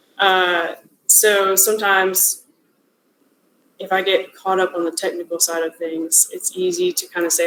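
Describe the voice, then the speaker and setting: Monotone and flat in intonation, a woman talks at a medium pitch. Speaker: product owner giving a lecture. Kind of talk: lecture.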